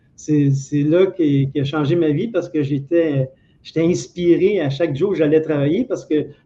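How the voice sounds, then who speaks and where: A man speaks in a Quebec accent. His pace is moderate. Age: 60s. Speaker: former telephone technician. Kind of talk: interview.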